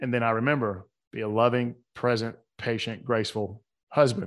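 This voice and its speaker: A man with a Southern US accent talks at a moderate pace in a medium pitch, his intonation fairly even, on a very clean recording with a silent background. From US South, Atlanta. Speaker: author and coach. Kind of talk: casual interview conversation.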